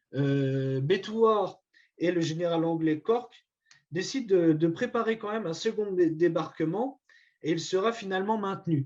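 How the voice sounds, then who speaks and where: Lively intonation marks this very slow delivery in a Vosges accent. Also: man. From France, Vosges. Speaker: historian giving a talk. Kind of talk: lecture. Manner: halting, many hesitations.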